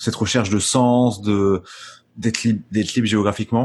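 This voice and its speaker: With fairly even intonation, the man talks at a medium pitch. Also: quiet background. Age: 20s. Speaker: podcast host. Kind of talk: casual interview chat. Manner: halting, many repeated words.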